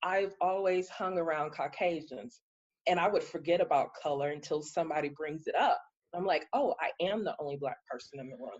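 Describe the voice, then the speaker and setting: Using an ordinary speaking voice, a woman with an American accent talks at a fairly quick pace, with a fairly low pitch and lively intonation. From East Texas. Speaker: podcast host. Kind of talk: casual chat.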